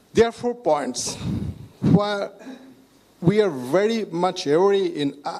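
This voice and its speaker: A man talks over noticeable background noise. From Bangladesh. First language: Bengali. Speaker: health ministry IT chief, data scientist. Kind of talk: panel talk. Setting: stage with audience. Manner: halting.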